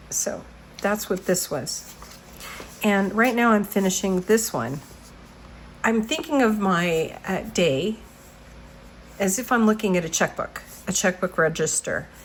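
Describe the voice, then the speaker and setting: Lively in intonation, a woman speaks at medium pitch and a fairly slow pace. She leaves long, frequent pauses, and noticeable background noise runs underneath. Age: 60s. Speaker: journaling vlogger. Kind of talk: casual tutorial walkthrough. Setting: home studio. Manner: halting, many fillers.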